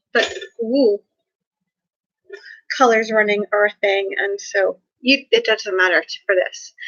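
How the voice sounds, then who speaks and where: A woman speaks at a fairly slow pace. Her pauses are long and frequent. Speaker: vlogger. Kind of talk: casual vlog talk.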